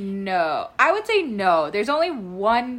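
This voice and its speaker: Very slowly, a woman speaks with very wide swings in pitch. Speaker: guest co-host. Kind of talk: casual chat.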